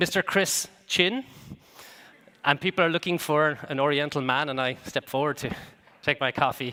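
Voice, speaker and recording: Bright, sharp tone at a moderate pace, with ordinary pitch variation and long, frequent pauses. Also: man, fairly high pitch for a man. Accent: Irish. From Ireland. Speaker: business executive and conference speaker. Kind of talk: conference keynote talk. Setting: stage with audience. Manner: hesitant, with many fillers and repetitions.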